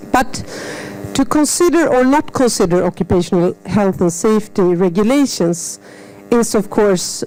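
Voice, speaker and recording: A woman talks fairly slowly at a medium pitch with lively intonation. Noticeable background noise can be heard. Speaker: seminar moderator. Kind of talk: seminar introduction.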